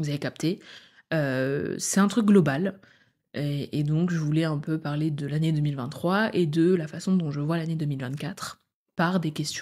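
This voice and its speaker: In a very clean recording with a silent background, a woman speaks very slowly in a very deep, low pitch with a dark, mellow tone and fairly even intonation. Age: 20s. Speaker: podcast host. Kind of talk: solo casual monologue.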